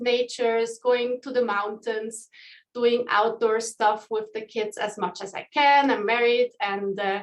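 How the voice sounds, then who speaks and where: A woman with a Swiss accent speaks at a fairly high pitch. Her pace is fairly slow and her intonation fairly even. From Switzerland. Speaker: community manager. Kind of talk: online group call hosting.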